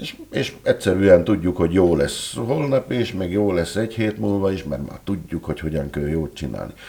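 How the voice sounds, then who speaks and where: A man speaks at a moderate pace in a fairly low voice, with noticeable background noise. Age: 60s. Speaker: writer and entrepreneur. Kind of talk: interview. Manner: halting.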